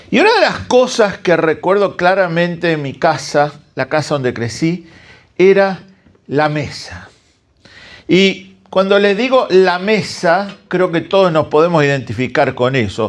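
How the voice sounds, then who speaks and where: Lively intonation rises and falls across speech delivered at a fairly slow pace. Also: man, high pitch for a man. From Argentina, Santa Fe (interior). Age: 60s. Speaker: guest preacher. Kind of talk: sermon.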